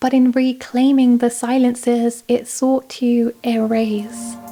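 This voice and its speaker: Speaking with a Southern British accent, a woman has a high pitch and a dark, mellow tone. Her intonation is monotone and flat. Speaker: video essayist. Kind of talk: scripted narration. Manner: conversational.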